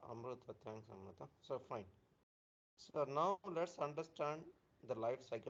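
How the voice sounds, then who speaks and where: Soft-spoken, a man talks at a moderate pace with ordinary pitch variation. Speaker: software trainer. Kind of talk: live online training class. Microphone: too quiet.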